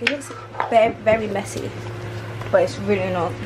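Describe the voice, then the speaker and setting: A woman speaks over loud background noise. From Nigerian background, London. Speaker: vlogger. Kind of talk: casual vlog talk to camera. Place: kitchen. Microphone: phone near.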